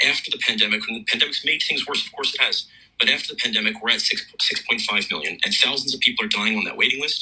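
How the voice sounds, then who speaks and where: Very fast male speech in an American accent, noticeable background noise around it. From United States. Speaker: emergency doctor. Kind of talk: radio interview. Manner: halting, many repeated words.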